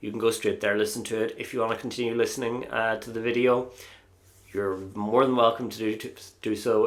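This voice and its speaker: Speaking fairly quickly in an Irish accent, a man keeps his medium-pitched voice monotone and flat. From Ireland. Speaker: Eurovision YouTuber. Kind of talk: casual vlog review. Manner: hesitant, many fillers.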